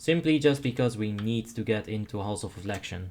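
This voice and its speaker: Here a man talks with a Dutch accent. His pitch is fairly low, with ordinary variation. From Netherlands. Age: 30s. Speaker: game streamer. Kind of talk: live gameplay commentary. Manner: casual, with stammered repeats.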